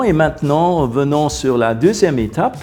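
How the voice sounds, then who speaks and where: Against noticeable background noise, a man speaks at a very slow pace with lively intonation. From Luxembourg. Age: 60s. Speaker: family planning client. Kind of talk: interview testimony. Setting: video interview. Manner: hesitant, many filler sounds.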